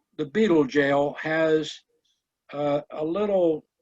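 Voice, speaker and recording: Recorded dry and close with no echo, a man with an American accent speaks at a fairly high pitch with ordinary pitch variation. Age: 80s+. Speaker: beekeeper and educator. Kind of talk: club meeting talk with Q&A. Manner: halting.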